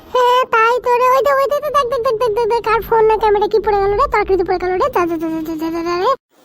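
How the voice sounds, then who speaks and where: In a cartoonish character voice, a woman speaks very fast with a raised, projected delivery at an extremely high pitch. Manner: excitable, informal.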